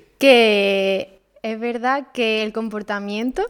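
A woman speaks very slowly in a fairly high pitch with ordinary pitch variation. The recording is very clean, with a silent background. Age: 20s. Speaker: veterinary student. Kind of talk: casual interview.

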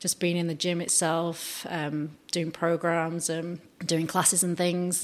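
Speaking at a moderate pace, a woman with a British accent has a fairly low pitch. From UK. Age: 40s. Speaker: police officer. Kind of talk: interview.

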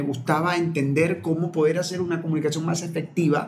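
Over noticeable background noise, a man with a high pitch speaks at a fairly quick pace. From Ecuador, Manabí coast (Portoviejo and Chone). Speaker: communicator, lawyer and human behavior coach. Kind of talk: interview conversation. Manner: hesitant, with frequent word repetitions.

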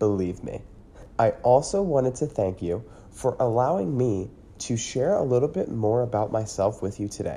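A man speaks with lively intonation in a dark, mellow tone. His voice is somewhat breathy. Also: medium pitch for a man, moderate pace. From US, Pennsylvania (Lancaster County area). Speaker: podcast host. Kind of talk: monologue.

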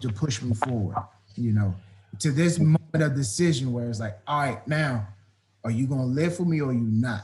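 Somewhat breathy and medium in pitch, a man talks at a fairly quick pace with ordinary pitch variation. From Washington, D.C. area, US. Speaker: football coach. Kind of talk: interview. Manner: animated.

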